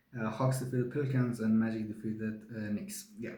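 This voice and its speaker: A man at a moderate pace with audible room echo. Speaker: sports show host. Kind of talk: solo sports review monologue. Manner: halting, many fillers.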